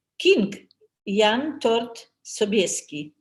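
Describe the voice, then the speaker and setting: A somewhat breathy woman's voice, fairly high in pitch, at a very slow pace. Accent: Polish. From Poland. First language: Polish. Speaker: language helper, author's mother-in-law. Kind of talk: casual chat. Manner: halting.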